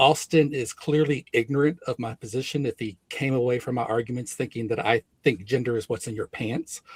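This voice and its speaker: Somewhat breathy, a man at medium pitch speaks with ordinary pitch variation in a dry, close sound with no echo. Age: 60s. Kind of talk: heated debate.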